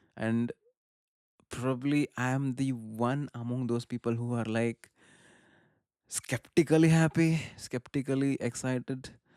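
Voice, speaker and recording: A man with a Karnataka accent speaks at a fairly slow pace, leaving long, frequent pauses, in a medium pitch with a dark, mellow tone. The sound is dry and close with no echo, a very clean recording with a silent background. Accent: Indian English (Kannada). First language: Kannada. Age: 30s. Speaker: film commentator / vlogger. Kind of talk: casual monologue. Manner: animated; halting.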